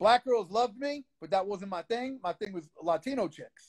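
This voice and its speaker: A man with a Brooklyn accent speaks with ordinary pitch variation in a dry, close sound with no echo. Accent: New York (Brooklyn). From Brooklyn, New York. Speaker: underground rapper. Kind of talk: casual interview. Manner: animated.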